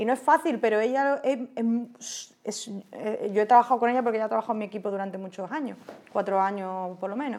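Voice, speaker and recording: A woman's fairly high voice at a very fast pace, on a very clean recording with a silent background. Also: ordinary pitch variation. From Andalusia, Spain (Osuna, Seville). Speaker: WordPress community manager. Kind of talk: podcast interview. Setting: recording in a palace venue with background noise.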